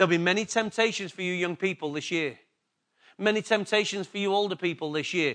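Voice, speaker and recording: This man's voice sits high in pitch, with ordinary pitch variation. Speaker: pastor. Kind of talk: sermon. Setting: church.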